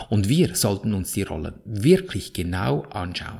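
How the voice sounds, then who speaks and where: A man with a Swiss German accent speaks at a fairly slow pace in a fairly low, somewhat breathy voice whose pitch swings very widely. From Switzerland. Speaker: podcast host, spiritual coach. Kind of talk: motivational monologue.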